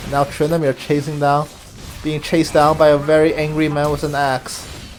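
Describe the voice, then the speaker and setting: With music in the background, a man speaks at a fairly quick pace in a fairly high pitch with monotone, flat intonation. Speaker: game commentator. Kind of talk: live commentary. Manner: quieter, taking it easy.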